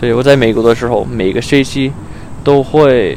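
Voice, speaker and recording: A man of medium pitch with an English accent and ordinary pitch variation, over noticeable background noise. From US, Arizona. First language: English (speaking Chinese). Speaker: exchange student. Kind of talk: casual interview. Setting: outdoors in a park. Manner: halting, many fillers.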